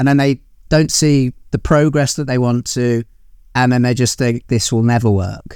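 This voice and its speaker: At a moderate pace, a normal speaking voice moves with ordinary pitch variation. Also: man. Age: 20s. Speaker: musician. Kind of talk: interview.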